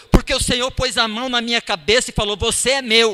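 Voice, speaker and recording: A man's raised, projected voice with a bright, sharp tone at a moderate pace. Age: 60s. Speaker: lay preacher. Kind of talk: sermon. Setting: church.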